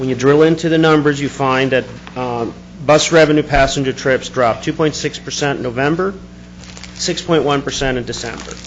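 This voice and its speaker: Amid noticeable background noise, a man talks at a fairly quick pace in a fairly high voice with fairly even intonation. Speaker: public commenter at board meeting. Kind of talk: public comment. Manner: fast.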